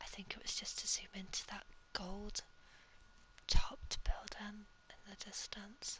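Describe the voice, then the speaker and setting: A fairly slow whisper broken by long, frequent pauses. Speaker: ASMR creator. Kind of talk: ASMR gaming commentary. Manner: whispered.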